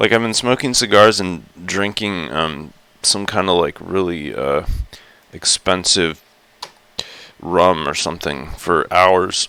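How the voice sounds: A man puts on a raspy character voice with a very deep, low pitch and ordinary pitch variation. He goes at a fairly slow pace with long, frequent pauses.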